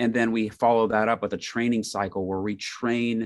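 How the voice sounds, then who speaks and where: With an American accent, a man with a fairly low pitch speaks at a moderate pace in monotone, flat intonation against a quiet background. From Indiana, US Midwest. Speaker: ministry organization executive. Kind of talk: interview podcast.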